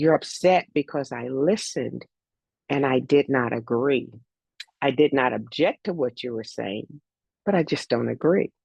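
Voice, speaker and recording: In a dry, close recording with no echo, a woman with a very deep, low voice and vocal fry talks at a moderate pace with ordinary pitch variation. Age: 60s. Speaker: life coach and former athletics coach. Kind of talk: casual chat. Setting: video call.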